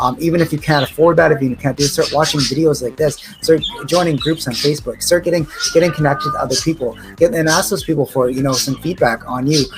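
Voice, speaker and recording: Very fast and fairly high-pitched, a man's speech shows ordinary pitch variation beneath noticeable background noise. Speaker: sobriety coach. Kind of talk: motivational video talk. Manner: excited, energetic.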